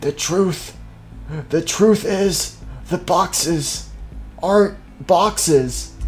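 Over clear music in the background, a raspy, put-on character voice speaks in a solemn tone at a very slow pace. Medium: machinima. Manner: slow, solemn, cryptic.

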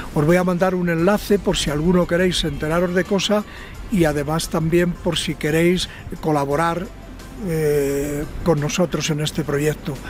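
A man with a high pitch speaks at a fairly slow pace. Faint music sits in the background of a dry sound with no echo. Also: fairly even intonation. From Ávila, Spain. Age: 70s. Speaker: mountaineer. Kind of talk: message to followers from base camp. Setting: outdoors. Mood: warm, friendly. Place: open country.

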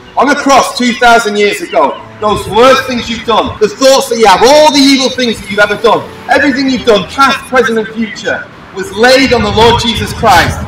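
A man speaks at an extremely high pitch and a moderate pace, with ordinary pitch variation. Music plays in the background. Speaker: street preacher. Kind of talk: sermon. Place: street. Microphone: camera far.

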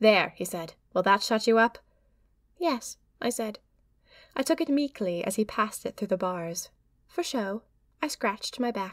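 A woman at a moderate pace with lively intonation and long, frequent pauses, in a very clean recording with a silent background and a dry, close sound with no echo. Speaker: audio drama narrator. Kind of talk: audio drama diary narration.

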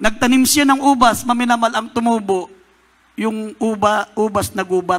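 A man speaks at a high pitch and a moderate pace, with fairly even intonation. The background is quiet. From Philippines. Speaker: preacher. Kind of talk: sermon. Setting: church. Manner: call-and-response, exhorting the congregation. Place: church. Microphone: handheld.

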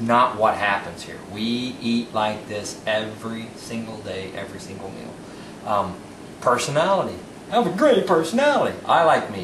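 With lively intonation, a man talks at a moderate pace amid audible room echo and noticeable background noise. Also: big swings in loudness. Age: 40s. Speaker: home cook. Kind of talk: audition tape cooking demo. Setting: home kitchen. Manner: animated.

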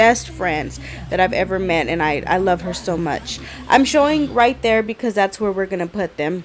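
A woman speaks at a fairly slow pace. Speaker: home vlogger. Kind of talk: casual vlog chat. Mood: grateful, warm. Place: garden. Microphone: phone near.

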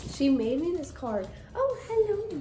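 Clear music plays in the background while a woman speaks. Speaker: vlogger. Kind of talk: casual vlog chat. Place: home room. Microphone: phone near.

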